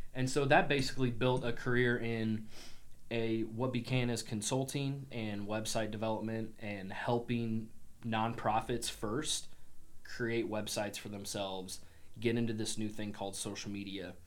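With an American accent, a man speaks at a moderate pace and medium pitch, his intonation fairly even, amid audible room echo. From Illinois, US Midwest (Springfield). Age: 30s. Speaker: entrepreneur. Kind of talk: casual chat.

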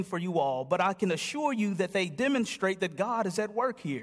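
A man's animated voice with lively intonation, on a very clean recording with a silent background. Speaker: guest pastor. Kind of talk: sermon. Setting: church. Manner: soft-spoken.

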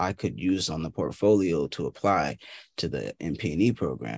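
A man with an unremarkable speaking voice, fairly slow, dry and close with no echo, against a quiet background. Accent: American. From Boston. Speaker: indie musician. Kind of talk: interview.

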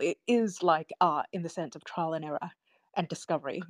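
A woman speaks in a fairly low pitch. The sound is dry and close, with no echo. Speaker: audience participant. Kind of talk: audience comment. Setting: live online audio room. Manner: hesitant, many fillers.

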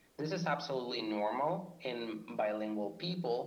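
A man speaks with a Spanish accent at a moderate pace. His pitch is medium. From Argentina. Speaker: PhD student in linguistics. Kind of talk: scripted podcast discussion.

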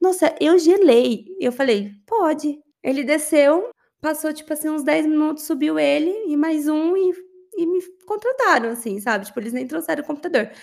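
Lively intonation in a woman's high voice, moving at a moderate pace. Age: 30s. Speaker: business intelligence analyst. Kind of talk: interview.

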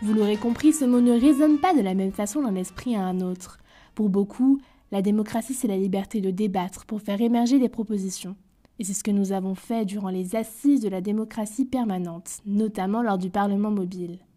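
Her medium-pitched voice is dark and mellow, somewhat breathy, with ordinary pitch variation and a fairly quick pace. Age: young. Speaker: podcast host. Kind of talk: scripted narration.

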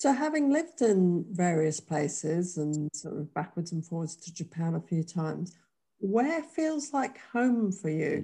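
A woman speaks with a dark, mellow tone and a somewhat breathy quality. Her pitch sits fairly low and swings very widely. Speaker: podcast host. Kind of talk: casual interview.

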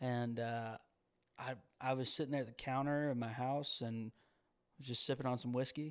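On a very clean recording with a silent background, a man with a Southern US accent speaks at a medium pitch and moderate pace, monotone and flat, with long, frequent pauses. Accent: Southern US (Georgia). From US South, Georgia. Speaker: singer-songwriter. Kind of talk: casual chat.

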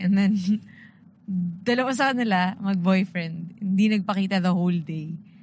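This woman's voice sits at a medium pitch. Some breathiness comes through. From Philippines, Antipolo. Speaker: podcast co-host. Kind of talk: casual chat. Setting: in a car.

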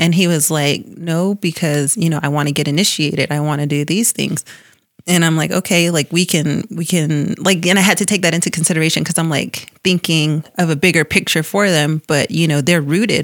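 Using an ordinary speaking voice, a woman talks at a fairly quick pace with a fairly low pitch, very even loudness, and fairly even intonation. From Tuba City area, Arizona (Hopi reservation). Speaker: bank employee. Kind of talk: interview. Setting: studio.

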